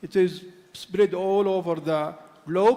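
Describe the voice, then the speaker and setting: Against noticeable background noise, a high-pitched man speaks in an Arabic accent with fairly even intonation. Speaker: conference moderator. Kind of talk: panel discussion moderation. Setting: conference hall, streamed online. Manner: halting.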